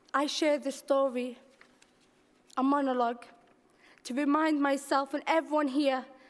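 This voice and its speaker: The delivery moves at a moderate pace. Its intonation stays flat and monotone. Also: woman. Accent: Liverpool. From Liverpool, England (Toxteth). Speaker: poet. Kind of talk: spoken word poetry performance.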